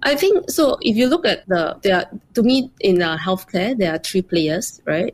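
Delivered at a moderate pace, this woman's speech has lively intonation, an ordinary speaking voice and medium pitch. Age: 40s. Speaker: startup founder and CEO. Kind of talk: interview.

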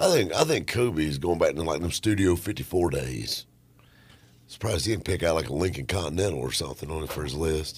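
Very fast speech from a man, very deep and low in pitch, with vocal fry and ordinary pitch variation. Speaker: radio host. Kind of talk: casual chat. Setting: studio. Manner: joking, animated.

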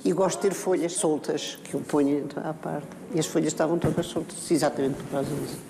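The speech moves at a moderate pace with fairly even intonation, with audible room echo and noticeable background noise. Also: woman. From Portugal. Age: 80s+. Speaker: actress. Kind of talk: interview.

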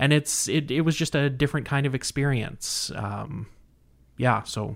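In a very clean recording with a silent background, a man with a Canadian accent speaks fairly slowly at a fairly high pitch, in a plain, everyday voice with ordinary pitch variation. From northern Manitoba, Canada. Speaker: movie enthusiast. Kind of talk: casual interview.

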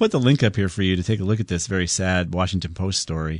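With a plain, everyday voice and a fairly low pitch, a man talks at a fairly quick pace against a quiet background. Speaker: radio host. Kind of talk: live radio call-in show. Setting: radio studio.

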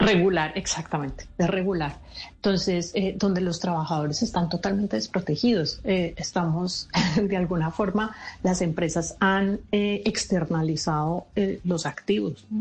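A woman's fairly low, somewhat breathy voice, fairly slow, with ordinary pitch variation and very even loudness. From Colombia. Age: 50s. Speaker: speaker on generational diversity and author. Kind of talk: radio interview.

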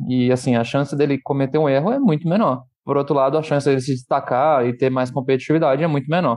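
Fairly high in pitch, a man talks at a very fast pace with hardly any pauses, very even loudness and fairly even intonation. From Brazil, Rio de Janeiro. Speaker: startup founder and CEO. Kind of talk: casual podcast interview. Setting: studio.

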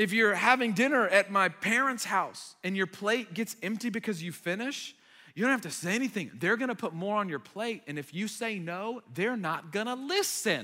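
Raised and projected, a man's high, bright, sharp voice comes across as animated, with ordinary pitch variation, a moderate pace and hardly any pauses. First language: Arabic. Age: 30s. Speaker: young adults pastor. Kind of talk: sermon. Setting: church stage with audience. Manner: animated, conversational.

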